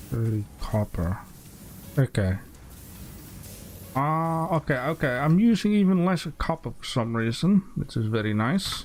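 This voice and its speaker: The mumbling speech moves at a fairly slow pace, broken by long, frequent pauses, with very wide pitch swings. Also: man, fairly high pitch for a man. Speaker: gaming streamer. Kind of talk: casual chat. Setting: voice chat while gaming. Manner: mumbling to himself.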